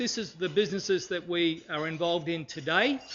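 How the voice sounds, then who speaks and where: Speaking fairly quickly in an Australian accent, a man uses a high pitch. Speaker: businessman and speaker. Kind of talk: presentation. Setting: stage with audience.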